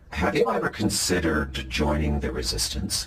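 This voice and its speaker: Using a put-on character voice with a very deep, low pitch, a man speaks at a moderate pace over clear background noise. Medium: comedy sketch.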